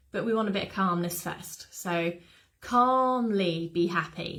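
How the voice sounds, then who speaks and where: Speaking slowly-ish with fairly even intonation, a woman with a British accent keeps to a medium pitch. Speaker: dog behaviour specialist. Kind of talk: webinar talk. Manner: whispering in part.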